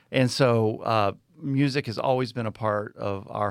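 Featuring an unremarkable speaking voice, a man with an American accent speaks at a fairly slow pace in a fairly low pitch with fairly even intonation, on a very clean recording with a silent background. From Texas and South Florida. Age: 50s. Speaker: university president. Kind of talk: casual interview.

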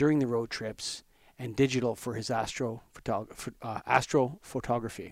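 A man's ordinary speaking voice at medium pitch, with fairly even intonation and a moderate pace, in a very clean recording with a silent background and a dry, close sound with no echo. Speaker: podcast host. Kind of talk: casual interview chat.

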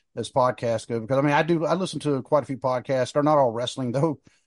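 In a plain, everyday voice, a man with an American accent talks at medium pitch with ordinary pitch variation, the sound dry and close with no echo against a quiet background. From US South, North Carolina. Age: 50s. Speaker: wrestling podcast host, military veteran. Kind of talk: casual chat.

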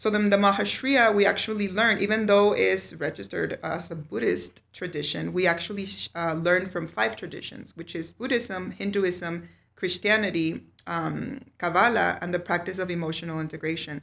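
Vocal fry runs through speech with hardly any pauses and ordinary pitch variation. The recording is very clean, with a silent background. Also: woman, fairly low pitch for a woman, moderate pace. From Mexico City, then Juarez and El Paso. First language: Spanish. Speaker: meditation teacher and alternative therapist. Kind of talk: interview.

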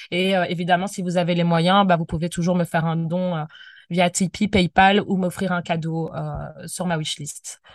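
This woman speaks with a fairly low pitch. Her intonation is monotone and flat over a quiet background. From Belgium, Brussels. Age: 20s. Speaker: anti-racism activist. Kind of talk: interview. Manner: hesitant, many fillers.

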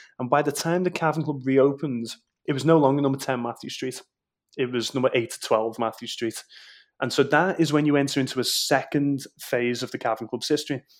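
With a Liverpool accent, a man talks in a fairly high pitch and fairly even intonation on a very clean recording with a silent background. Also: fairly quick pace. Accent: Scouse (Liverpool). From Liverpool, England (Walton). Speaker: Beatles tour guide. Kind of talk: casual interview.

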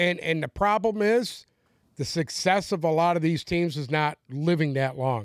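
With a very clean recording and a silent background, a man in an unremarkable speaking voice talks at a moderate pace, his fairly high pitch moving with lively intonation. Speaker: podcast co-host. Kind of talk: casual banter. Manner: blunt, profane, ranting.

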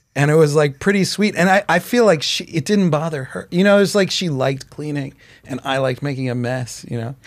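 A man with a normal speaking voice, fairly high in pitch, at a fairly quick pace with lively intonation. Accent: American. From Chicago. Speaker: comedian. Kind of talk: casual chat. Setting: studio.

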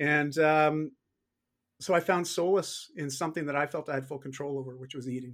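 In a normal speaking voice, a man with a Canadian accent talks at a fairly quick pace and fairly high pitch with fairly even intonation, in a very clean recording with a silent background. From Canada. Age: 40s. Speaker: fitness coach and author. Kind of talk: interview conversation. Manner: frequent repetitions and fillers.

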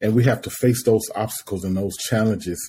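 A man speaks in a fairly low pitch with a dark, mellow tone that is somewhat breathy. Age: 40s. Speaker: podcast host. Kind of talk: casual interview. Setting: video call. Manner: animated.

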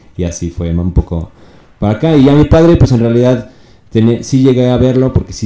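Using an ordinary speaking voice, a man talks at a fairly quick pace with lively intonation. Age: 30s. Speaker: rapper and content creator. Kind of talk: casual chat.

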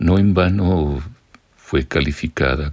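Ordinary in its pitch variation, the man's speech unfolds very slowly. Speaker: radio artist and narrator. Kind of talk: scripted narration.

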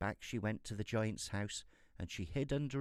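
With ordinary variation in pitch, the passage is read aloud in a natural voice.

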